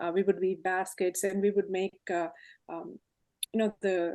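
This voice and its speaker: In a Telugu accent, a woman speaks with a dark, mellow tone at medium pitch and fairly even intonation, in a dry, close sound with no echo. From India, Hyderabad. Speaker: tech leader. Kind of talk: interview, life story.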